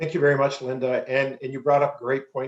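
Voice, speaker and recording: Speaking at a medium pitch, a man talks with a Canadian accent. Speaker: forum moderator. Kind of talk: moderating a presentation. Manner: fast.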